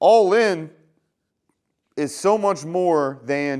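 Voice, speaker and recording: Lively intonation runs through a man's animated tone. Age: 30s. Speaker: healthcare worker, vlogger. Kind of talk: motivational monologue. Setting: garage. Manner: casual, animated.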